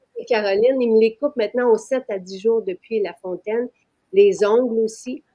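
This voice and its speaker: With a Quebec accent, a woman speaks at a moderate pace in a dark, mellow tone, her fairly high pitch varying an ordinary amount while her loudness swings widely. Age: 60s. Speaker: business owner presenting her products. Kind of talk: live-stream sales pitch. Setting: live stream. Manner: hesitant, many fillers.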